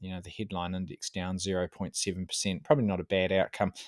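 A man with a New Zealand accent speaks at a moderate pace and a fairly low pitch. The sound is dry and close with no echo, in a very clean recording with a silent background. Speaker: investment director, market commentator. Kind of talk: solo market commentary podcast. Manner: casual with frequent filler words.

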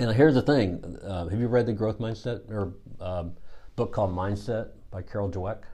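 A man with an American accent speaks at a moderate pace in a dark, mellow, somewhat breathy tone, his fairly low pitch showing ordinary pitch variation. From US Midwest, Missouri. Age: 50s. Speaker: executive coach. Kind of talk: casual chat.

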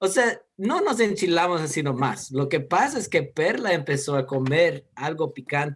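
At a fairly slow pace, a man talks with hardly any pauses. His fairly high voice has lively intonation. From United States. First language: English (speaking Spanish). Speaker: guest, host's husband. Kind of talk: casual chat.

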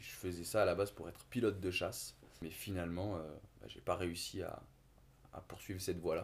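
Speaking at a fairly quick pace, the man has a very deep, low pitch and fairly even intonation. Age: 20s. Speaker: engineer and podcast co-host. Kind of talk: casual chat. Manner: halting.

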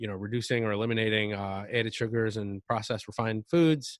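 A man talks at a very fast pace. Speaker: podcast co-host, bodybuilder and nutrition coach. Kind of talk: casual chat, telling his story.

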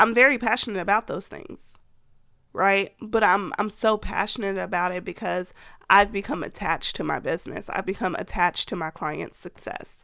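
Bright and sharp in tone, a woman speaks at a medium pitch with big swings in loudness. The recording is very clean, with a silent background. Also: moderate pace. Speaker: podcast host. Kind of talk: solo podcast talk about business advice. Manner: monotone, flat inflection; casual, chatty, enthusiastic.

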